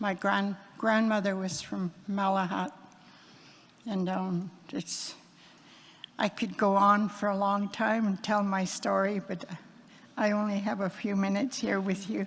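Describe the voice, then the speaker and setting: A woman with a British Columbia accent, medium pitch and somewhat breathy delivery, monotone and flat, fairly slow with long, frequent pauses. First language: Hul'q'umi'num'. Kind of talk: blessing / prayer; personal speech. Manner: halting.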